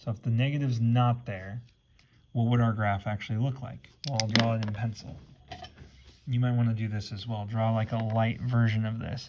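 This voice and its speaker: Over noticeable background noise, a man speaks at medium pitch in a flat monotone. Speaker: math teacher. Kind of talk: tutorial. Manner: fast.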